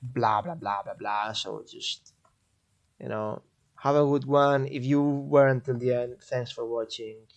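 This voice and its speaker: A man with a Spanish accent, medium pitch, fairly even intonation and a fairly slow pace. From Catalonia, Spain (Barcelona). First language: Spanish/Catalan. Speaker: gaming streamer. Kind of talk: live stream game guide. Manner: casual, hesitant with fillers.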